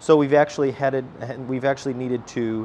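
A man with fairly even intonation, against light background noise. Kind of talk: tour explanation. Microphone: lapel.

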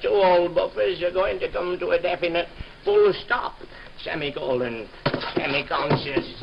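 There is noticeable background noise as the man talks at a fairly slow pace. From Sheffield; England. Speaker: music hall comedian. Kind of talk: comic monologue. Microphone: old recording.

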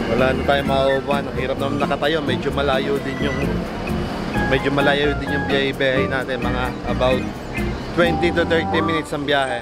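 A man at a fairly quick pace, dry sound with no echo, loud music in the background. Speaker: travel vlogger. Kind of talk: casual vlog chat. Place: street. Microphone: phone near.

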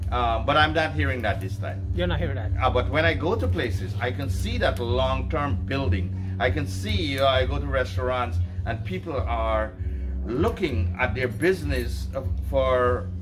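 Music plays in the background as a man talks at a moderate pace. His voice has a very deep, low pitch. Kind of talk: interview answer. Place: garden. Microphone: camera far.

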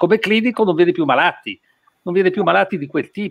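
A man's high-pitched voice, dry with no echo, over a quiet background. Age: 80s+. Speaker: physician and medical author; guest. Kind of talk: presentation. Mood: engaged, opinionated. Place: home room. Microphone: video call.

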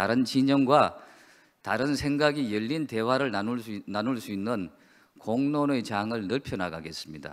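This man's intonation is lively. He speaks fairly slowly. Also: quiet background. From South Korea. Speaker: newspaper publisher. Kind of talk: opening speech. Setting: conference hall. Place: hall. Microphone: podium.

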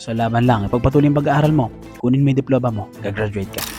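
A man at a very fast pace, music in the background. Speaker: teacher and interviewer. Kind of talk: casual interview talk.

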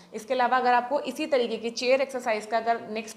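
Moderate-paced speech from a woman over light background noise. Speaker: fitness instructor. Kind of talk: tutorial. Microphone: camera far.

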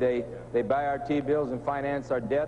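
The voice holds a monotone, flat intonation over noticeable background noise. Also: man. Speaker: talk show guest, politician. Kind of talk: interview answer. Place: studio. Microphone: lapel.

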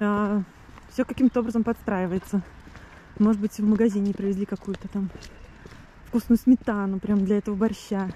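Pausing long and often, a woman speaks at a moderate pace in a fairly high pitch with fairly even intonation, the sound dry and close with no echo. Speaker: vlogger. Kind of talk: video diary monologue. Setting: outdoors, walking to the sea. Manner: halting, with fillers and restarts.

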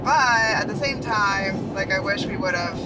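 Loud background noise runs under the recording. A man speaks at a moderate pace. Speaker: travel vlogger. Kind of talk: casual vlog chat. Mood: relaxed, mildly disappointed. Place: car. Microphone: phone near.

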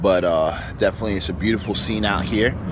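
A man at a fairly quick pace, dry sound with no echo, and music in the background. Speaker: fitness coach vlogger. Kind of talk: casual vlog chat. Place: waterside. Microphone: phone near.

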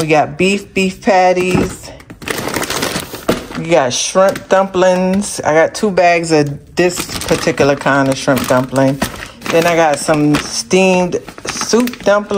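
Speaking at a very slow pace with long, frequent pauses, a woman with a fairly low voice is heard over noticeable background noise. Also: ordinary pitch variation. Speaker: family vlogger. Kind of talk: casual vlog chat. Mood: relaxed, a bit hot. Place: kitchen. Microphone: phone near.

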